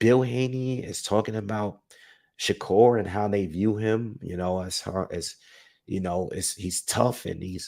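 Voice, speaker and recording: Soft-spoken and fairly slow, a man with a dark, mellow tone and a fairly low pitch uses ordinary pitch variation in a very clean recording with a silent background. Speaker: boxing commentary youtuber. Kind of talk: casual solo commentary. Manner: soft-spoken, talking low.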